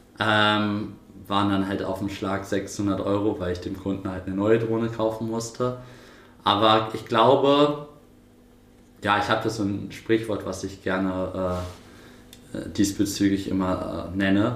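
A man with a fairly low pitch talks at a fairly slow pace with fairly even intonation and long, frequent pauses, amid audible room echo. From northern Germany, Buchholz. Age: 20s. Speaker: drone repair entrepreneur. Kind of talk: interview.

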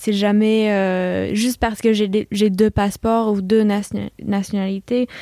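A woman with a medium pitch and a dark, mellow tone speaks at a very slow pace in a monotone, flat intonation, with a dry, close sound and no echo. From USA, California and Virginia, partly Hong Kong. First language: English (speaking French). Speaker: chef. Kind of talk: interview.

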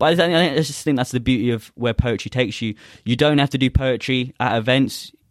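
A man with a London accent at medium pitch, ordinary pitch variation and a very fast pace. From South London, England. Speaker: spoken word poet. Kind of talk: poetry performance; casual interview chat.

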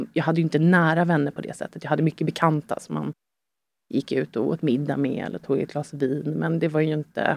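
Fairly quick pace, fairly even intonation, and vocal fry. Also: woman, very deep, low pitch for a woman. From Sweden, Stockholm area. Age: 30s. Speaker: guest sharing life story. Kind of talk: personal testimony in interview. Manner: hesitant, many fillers.

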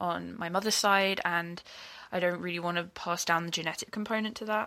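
Over a silent background in a very clean recording, a woman talks at a fairly quick pace with a bright, sharp tone and ordinary pitch variation. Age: 20s. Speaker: listener asking advice. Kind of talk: recorded voice message. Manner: hesitant, many fillers.

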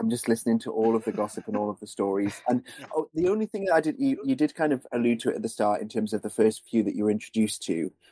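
Very fast and with hardly any pauses, a man speaks at a medium pitch in a dark, mellow tone with ordinary pitch variation. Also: dry, close sound with no echo. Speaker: podcast co-host. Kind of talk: casual chat.

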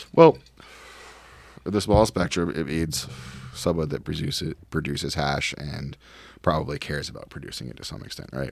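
A man with a very deep, low voice and vocal fry speaks at a moderate pace with ordinary pitch variation, long, frequent pauses and big swings in loudness. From Providence, Rhode Island. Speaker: cannabis lab director and jiu-jitsu competitor. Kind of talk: casual interview chat. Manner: halting, many fillers.

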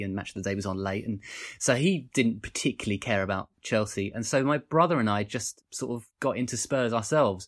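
This man has a normal speaking voice with a fairly low pitch and a fairly quick pace. The recording is very clean, with a silent background. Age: 30s. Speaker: historian and podcaster. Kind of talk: casual interview chat.

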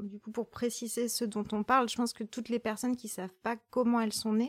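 Recorded dry and close with no echo, a woman speaks at a fairly high pitch. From rural France. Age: 30s. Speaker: poet. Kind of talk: casual chat. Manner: halting.

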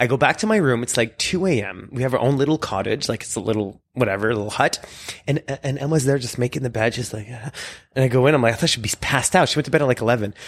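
Speaking very fast, a man with a medium pitch delivers his words in an animated tone. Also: ordinary pitch variation. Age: 40s. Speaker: magician and guest co-host. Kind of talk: casual chat. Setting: at his home.

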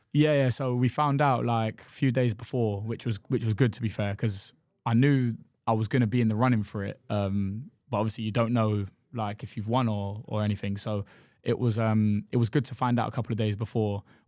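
A man in a London accent at a fairly quick pace, with fairly even intonation. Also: medium pitch for a man. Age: 20s. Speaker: professional football goalkeeper. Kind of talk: casual chat.

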